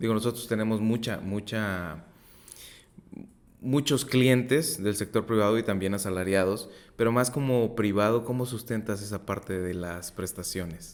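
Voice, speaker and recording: A man with an ordinary speaking voice and a fairly low pitch talks at a fairly slow pace with ordinary pitch variation. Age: 30s. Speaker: podcast host, insurance advisor. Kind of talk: interview.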